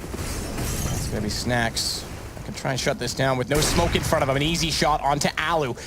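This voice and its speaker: A man at a fairly high pitch and a moderate pace, with ordinary pitch variation and noticeable background noise. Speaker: esports commentator. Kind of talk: live commentary. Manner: loud.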